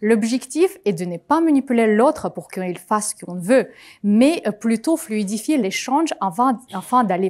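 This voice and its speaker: At a moderate pace, a woman with a non-native accent speaks with lively intonation at a fairly high pitch. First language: not French (speaking French). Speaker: conference speaker, project manager. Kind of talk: conference talk.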